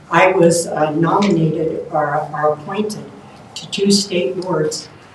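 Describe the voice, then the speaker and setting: This woman's voice sits fairly low, with fairly even intonation. Audible room echo and noticeable background noise surround her. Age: 70s. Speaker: mayoral candidate. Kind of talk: candidate forum answers. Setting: live-streamed candidate forum.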